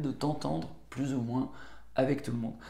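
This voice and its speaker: With vocal fry and a dark, mellow tone, a man talks at a fairly quick pace and medium pitch, with audible room echo around him. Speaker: book summary youtuber. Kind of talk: book review monologue. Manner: hesitant, many filler words.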